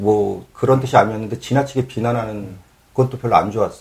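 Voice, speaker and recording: The voice is somewhat breathy. It moves at a very fast pace. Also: man. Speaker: broadcast coordinator and real estate agent. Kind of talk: casual chat.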